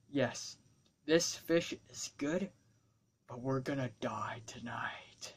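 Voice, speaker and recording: Someone whispers in a put-on character voice at a very slow pace. Long, frequent pauses break up the speech. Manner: overly serious, dramatic.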